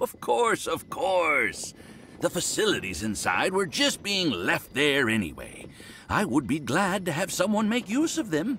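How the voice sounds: A man's put-on character voice, fairly high in pitch, with a bright, sharp tone, very wide pitch swings and a fairly slow pace.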